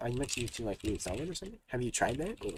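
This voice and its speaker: A man talks at a very fast pace, somewhat breathy. His pitch swings very widely. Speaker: programming streamer. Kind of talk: live coding stream, chatting with viewers. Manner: casual, many fillers.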